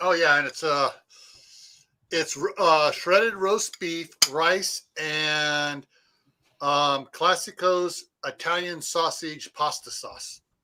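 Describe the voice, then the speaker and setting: Very slowly and with long, frequent pauses, a man speaks in a high pitch with a bright, sharp tone. His intonation is fairly even, and the recording is very clean with a silent background. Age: 60s. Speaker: homesteader vlogger. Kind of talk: casual chat.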